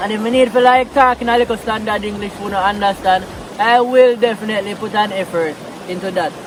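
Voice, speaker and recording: Someone with a Jamaican accent talks at a very fast pace over noticeable background noise. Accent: Jamaican Patois speaker. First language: Jamaican Patois. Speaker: vlogger. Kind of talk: casual vlog talk. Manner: relaxed, conversational.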